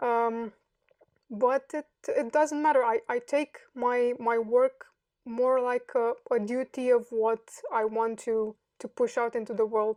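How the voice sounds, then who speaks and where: A woman with a Romanian accent speaks at a very slow pace in a high, monotone, flat voice. The sound is dry and close, with no echo. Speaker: software developer. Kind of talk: interview. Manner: halting.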